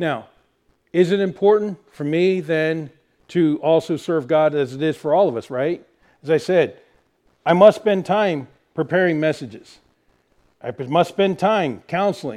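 A man speaks at a fairly slow pace with a fairly high pitch and ordinary pitch variation. Long, frequent pauses break up this very clean recording with a silent background. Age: 40s. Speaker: pastor. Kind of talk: sermon.

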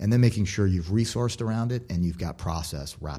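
A man talks very fast, his tone dark and mellow. His voice is somewhat breathy, with lively intonation. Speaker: former food company CEO. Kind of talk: interview. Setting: studio.

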